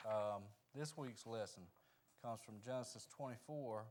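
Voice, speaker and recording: A man with a Southern US accent speaks at a medium pitch with ordinary pitch variation and audible room echo. His pace is fairly slow, with long, frequent pauses. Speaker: Sunday school teacher. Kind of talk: Bible lesson. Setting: church with microphone. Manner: soft-spoken.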